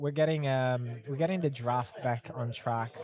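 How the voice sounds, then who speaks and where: Noticeable background noise runs under this man's voice. His pitch is medium, with ordinary variation, and his pace is moderate. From outside the UK. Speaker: livestream co-host. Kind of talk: casual livestream chat. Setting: game store in London.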